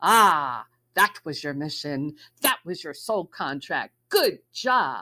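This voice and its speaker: A woman's booming, put-on character voice, fairly low in pitch, with very wide pitch swings and a very slow pace. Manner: approving, congratulatory.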